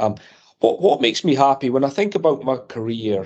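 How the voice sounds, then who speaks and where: The speaker has a slight Scottish accent. The pace is fairly quick. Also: man. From Edinburgh, Scotland. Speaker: electronics company executive. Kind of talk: interview.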